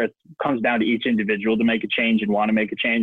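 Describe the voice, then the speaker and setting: A man talks with an Ontario accent. His pace is very fast. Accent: Canadian (Ontario). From Ontario, Canada. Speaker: professional hockey player. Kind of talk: interview.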